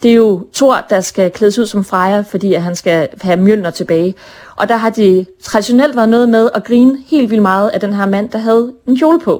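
A woman talks at a moderate pace and fairly high pitch, with ordinary pitch variation. Her tone is dark and mellow. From northern Jutland, Denmark (Brønderslev). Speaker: author. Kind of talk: interview.

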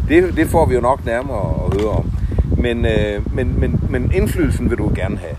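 Audible room echo and noticeable background noise come through the recording. A man talks at a moderate pace. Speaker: podcast host. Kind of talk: interview. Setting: outdoors in a garden. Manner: halting, many fillers.

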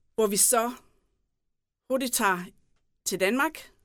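A woman's lively intonation at a fairly slow pace in a very clean recording with a silent background. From Southern Jutland, Denmark (Tønder area). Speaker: mayoral candidate. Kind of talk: interview.

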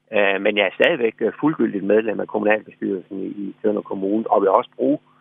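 A man talks at a fairly quick pace. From Southern Jutland, Denmark. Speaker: politician, former mayor. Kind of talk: radio interview. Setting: phone call. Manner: hesitant, repeats words.

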